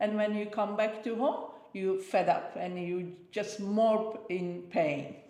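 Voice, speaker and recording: Amid noticeable background noise and audible room echo, a woman with a fairly high pitch talks at a fairly slow pace with ordinary pitch variation. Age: 60s. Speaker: interviewee, host's mother. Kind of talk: casual interview chat. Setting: sitting on a sofa.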